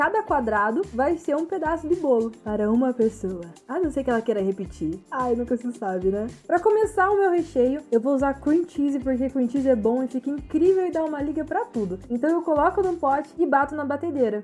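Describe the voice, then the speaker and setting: Over background music, a woman talks at a fairly quick pace with hardly any pauses, her high voice making very wide pitch swings in an upbeat, playful tone. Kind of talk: cooking tutorial narration.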